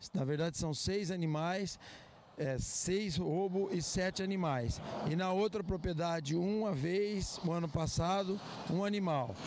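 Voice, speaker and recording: With a Brazilian accent, a man talks in a high pitch with ordinary pitch variation. There is noticeable background noise. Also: fairly slow pace, dry sound with no echo. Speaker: farmer. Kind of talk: news interview. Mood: calm, earnest. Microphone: handheld.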